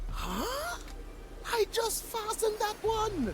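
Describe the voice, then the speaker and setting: A squeaky, put-on character voice at an extremely high pitch talks at a very slow pace over loud background noise. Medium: video game. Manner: impatient, commanding.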